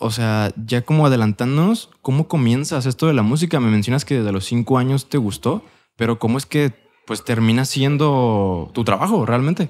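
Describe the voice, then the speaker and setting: In a Mexican accent, a man speaks with ordinary pitch variation. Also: moderate pace. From Mexico. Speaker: podcast host. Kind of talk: casual chat. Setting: studio. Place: studio. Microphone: studio mic.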